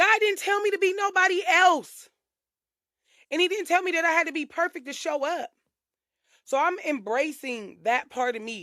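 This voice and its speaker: With lively intonation, a woman uses a raised, projected voice at an extremely high pitch. Her pace is moderate, broken by long, frequent pauses. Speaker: podcast host. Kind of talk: casual monologue. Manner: loud.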